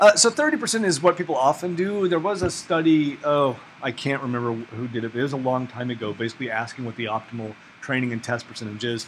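A man talks at a very fast pace with an American accent and lively intonation. Light background noise is audible. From Oklahoma. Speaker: ecology researcher teaching a workshop; workshop instructor. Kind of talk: workshop lecture. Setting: classroom with audience. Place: classroom.

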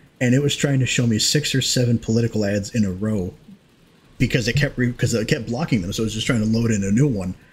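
Pitch variation here is ordinary, and the pace is moderate. There is a somewhat breathy quality to the voice. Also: man. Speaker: streamer and gaming host. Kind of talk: casual chat during a group gaming stream. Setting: livestream with voice chat. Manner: rambling, casual, profane. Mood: mildly annoyed ranting. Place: home room. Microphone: headset.

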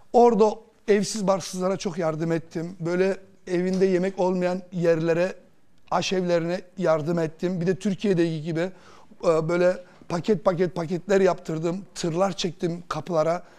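A dark, mellow tone at a fairly slow pace, with flat, monotone intonation. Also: man, high pitch for a man. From Germany, Turkish emigrant from Kırşehir; Germany. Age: 40s. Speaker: lottery winner; talk show guest. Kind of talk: TV interview, personal story. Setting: TV studio. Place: studio. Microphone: lapel.

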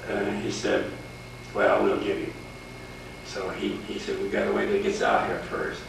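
A man with an American accent at a moderate pace, with long, frequent pauses, strong room echo and noticeable background noise. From Indiana, Montgomery County; Indiana. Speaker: war veteran. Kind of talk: oral history interview. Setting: recorded on camera at a historic house. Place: home room. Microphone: old recording.

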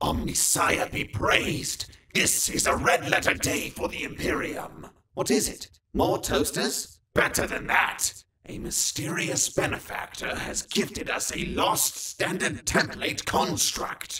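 Using a put-on character voice, a man speaks in a high, raspy tone at a fairly slow pace. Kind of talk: comedic meme dub, several characters. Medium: dub.

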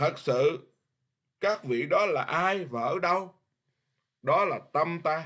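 Against a quiet background, a man with a high pitch talks at a very slow pace. He uses ordinary pitch variation and long, frequent pauses. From Vietnam. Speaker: Buddhist monk teacher. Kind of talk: dharma lecture. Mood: earnest, forceful at times. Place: home room. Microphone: webcam.

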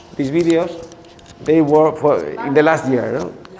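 Over light background noise, a man with a Spanish accent talks in a fairly high voice with fairly even intonation. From Spain. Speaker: high school teacher. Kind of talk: conference presentation. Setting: seminar with live audience. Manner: halting. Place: classroom.

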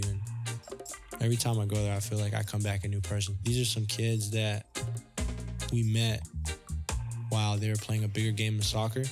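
A soft-spoken man with a fairly low voice talks at a very fast pace. His intonation is monotone and flat, with music in the background. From Toronto, Canada. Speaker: photographer. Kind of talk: interview answer. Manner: soft-spoken, shy.

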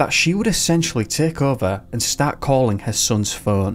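A man's voice swings very widely in pitch as music plays in the background. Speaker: channel narrator. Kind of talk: true-crime narration.

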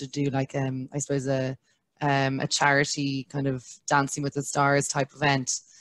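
A woman with an Irish accent speaks at a moderate pace in a very deep, low voice and a flat monotone, with a dry sound and no echo. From Ireland. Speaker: brand manager; panelist. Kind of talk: webinar interview. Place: home room. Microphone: headset.

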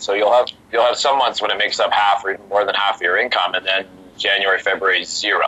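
Through noticeable background noise, a man speaks at a very fast pace. His voice is fairly low, with fairly even intonation. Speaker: master of ceremonies and auctioneer. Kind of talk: podcast interview answer, casual conversational.

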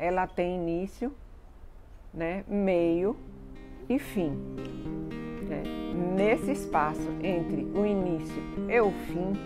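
A woman talks at a very slow pace while faint music plays in the background. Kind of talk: interview answer. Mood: calm, reflective. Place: garden. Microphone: lapel.

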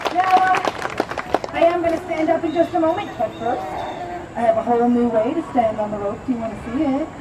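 A woman talks at a very fast pace, broken by long, frequent pauses. Noticeable background noise sits behind her. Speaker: street performer. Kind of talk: live show patter to audience. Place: stage. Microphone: camera far.

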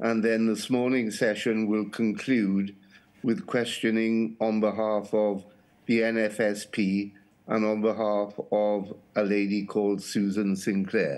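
In a monotone with flat intonation, a man at a fairly low pitch talks very slowly at a very even loudness. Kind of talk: formal procedural statement. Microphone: video call.

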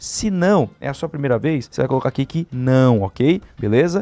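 Faint music sits behind a man whose animated tone and lively intonation come through in a dry sound with no echo. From Brazil. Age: 20s. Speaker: online money-making YouTuber. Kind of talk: screen-share tutorial. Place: home room. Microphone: studio mic.

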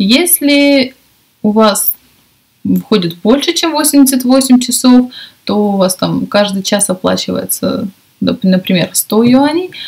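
A woman with a fairly high pitch speaks at a very slow pace, using long, frequent pauses. Her intonation is lively, and the background is quiet. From Russia. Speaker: English teacher and video blogger. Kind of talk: casual vlog talk to camera. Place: home room. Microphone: webcam.

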